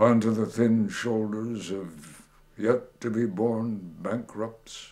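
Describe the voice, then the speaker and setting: Dark, mellow tone from a male speaker. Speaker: poet, WWII veteran. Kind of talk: poetry reading. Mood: bitter, sardonic political critique. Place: home room.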